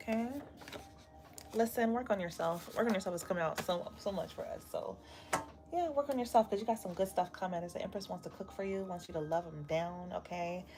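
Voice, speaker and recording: Speaking at a fairly quick clip, a woman uses an unremarkable speaking voice of medium pitch with ordinary pitch variation. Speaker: tarot reader. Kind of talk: live tarot reading stream. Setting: livestream with live chat. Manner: casual, chatty.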